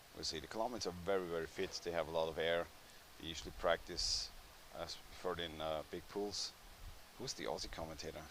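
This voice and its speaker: At a very fast pace, a man talks in a very deep, low pitch over noticeable background noise. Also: ordinary pitch variation. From Austria, Vienna. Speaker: sports commentator. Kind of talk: live commentary. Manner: halting.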